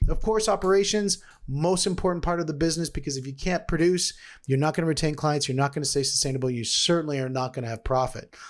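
A man talks at a very fast pace in a fairly high voice. His pitch variation is ordinary. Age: 40s. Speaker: podcast host and sales consultant. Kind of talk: solo business podcast monologue.

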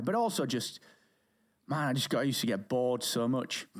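In a very clean recording with a silent background, a man speaks at a medium pitch and a moderate pace with a British accent. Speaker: podcast company founder. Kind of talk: interview conversation. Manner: soft-spoken.

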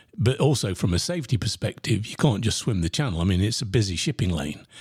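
A man speaks at a fairly quick pace with a fairly low pitch and a somewhat breathy quality. The recording is very clean, with a silent background. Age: 60s. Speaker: podcast host and sales coach. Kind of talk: solo podcast monologue.

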